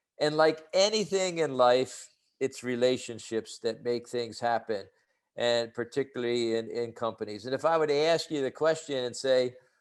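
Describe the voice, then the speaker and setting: A man with an American accent talks at a medium pitch and a moderate pace, using ordinary pitch variation. He has an ordinary speaking voice, and the background is quiet. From United States. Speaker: leadership trainer. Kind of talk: webinar presentation. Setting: online webinar with chat.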